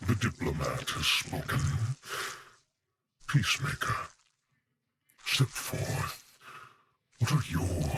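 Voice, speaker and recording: A man puts on a character voice at a medium pitch. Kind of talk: in-character role play dialogue. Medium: role play. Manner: slow, formal.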